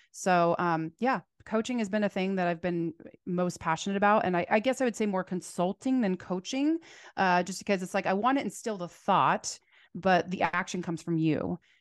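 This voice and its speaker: Against a quiet background, a woman with a General American accent talks at medium pitch with ordinary pitch variation, the sound dry and close with no echo. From US Southwest, Phoenix. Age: 40s. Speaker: salon owner and hairstylist educator. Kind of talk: casual chat. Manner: fast talker.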